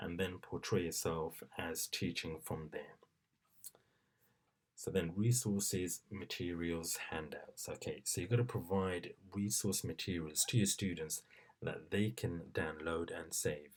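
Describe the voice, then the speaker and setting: Soft-spoken, a man talks at a fairly slow pace in a very deep, low voice. His pitch variation is ordinary. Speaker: teacher. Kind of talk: tutorial. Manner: hesitant.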